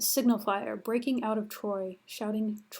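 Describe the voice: Intonation stays fairly even in this plain reading aloud.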